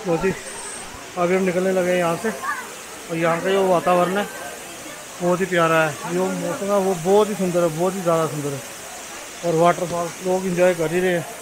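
With clear background noise behind him, a man speaks at a moderate pace in a high voice that has little pitch movement.

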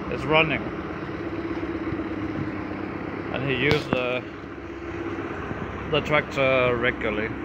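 Loud noise fills the background while a man talks at a moderate speed. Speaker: tractor mechanic. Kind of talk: casual walk-around commentary. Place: garage. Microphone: phone near.

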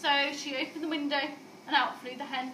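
A woman at a moderate pace, high-pitched with a bright, sharp tone, fairly even intonation, and audible room echo.

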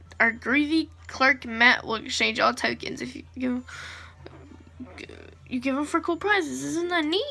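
At a fairly slow pace, the speaker talks over faint music in the background. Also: woman. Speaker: gamer filming his screen. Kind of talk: casual gameplay commentary, reading dialogue aloud. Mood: amused, laughing. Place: home room. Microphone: phone near.

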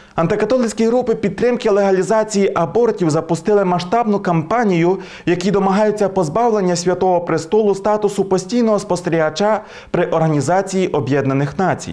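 Against a quiet background, a man talks with a high pitch. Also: ordinary pitch variation, fairly quick pace. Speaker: priest presenting religious news. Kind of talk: news reading. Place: studio.

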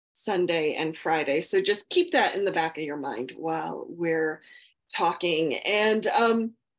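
A woman's fairly low-pitched, plain, everyday voice, at a fairly slow pace with ordinary pitch variation, over a quiet background. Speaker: podcast host. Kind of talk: interview host intro. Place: home room. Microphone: earbuds.

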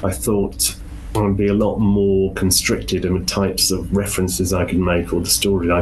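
A man with a Welsh accent, very deep and low in pitch, with ordinary pitch variation, over noticeable background noise. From Wales. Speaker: author. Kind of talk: interview.

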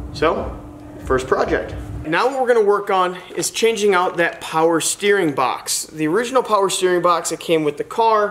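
Ordinary pitch variation in a man's voice pitched high. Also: moderate pace. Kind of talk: casual vlog chat. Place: garage. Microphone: camera far.

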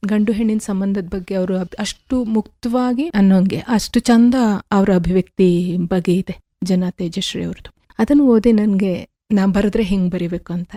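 This woman has a medium pitch with ordinary pitch variation. It is an unremarkable speaking voice. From Karnataka, Alur taluk, Hassan district. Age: 50s. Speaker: poet and coffee farmer. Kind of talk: radio interview. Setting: radio studio.

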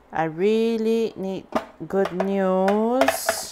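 A woman amid noticeable background noise. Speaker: vlogger and mother; vlogger. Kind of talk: casual vlog narration. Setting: at home among moving boxes. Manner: animated. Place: kitchen. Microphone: phone near.

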